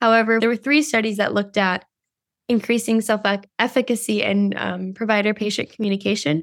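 A woman with a plain, everyday voice and a fairly high pitch speaks fairly quickly with fairly even intonation, on a very clean recording with a silent background. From Costa Rica, then US from age seven. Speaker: undergraduate researcher. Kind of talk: interview. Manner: casual, many fillers.

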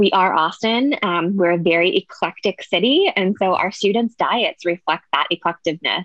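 A woman with an American accent uses a normal speaking voice at a medium pitch, with ordinary pitch variation and very even loudness. She keeps a moderate pace with hardly any pauses. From Pittsburgh, Pennsylvania. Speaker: registered dietitian. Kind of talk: podcast interview.

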